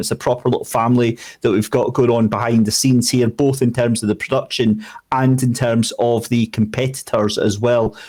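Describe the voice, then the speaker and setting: A man speaks in a Scottish accent at a medium pitch. His delivery is fairly quick, with monotone, flat intonation. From Scotland. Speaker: sim racing commentator. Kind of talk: interview answer.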